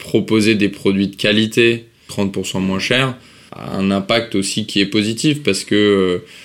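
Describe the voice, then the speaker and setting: A man speaks at a very slow pace, his pitch fairly low. His intonation stays fairly even. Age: 30s. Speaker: social entrepreneur. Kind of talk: interview.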